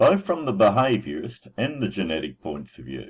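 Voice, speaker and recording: A man speaks slowly-ish, at a fairly slow pace, with vocal fry. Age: 60s. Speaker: website owner and parenting advocate. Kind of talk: personal introduction monologue.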